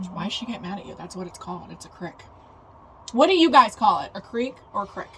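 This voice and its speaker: Talking at a very fast pace with an American accent, a woman at medium pitch uses lively intonation and big swings in loudness over noticeable background noise. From South Central Pennsylvania. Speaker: podcast co-host. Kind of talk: casual chat.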